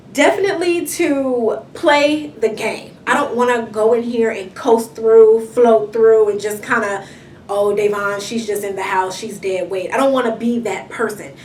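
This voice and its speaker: Spoken at a fairly slow pace with hardly any pauses, in an American accent, the delivery has lively intonation and an animated tone. Room echo is audible, and background noise is noticeable. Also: woman, fairly high pitch for a woman. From Inglewood, Los Angeles, California. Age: 20s. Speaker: reality show contestant. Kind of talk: interview. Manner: loud.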